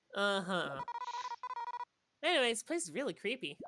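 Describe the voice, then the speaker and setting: This put-on character voice sits at a fairly high pitch with very wide pitch swings. It moves at a moderate pace. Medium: game stream. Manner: casual, sarcastic.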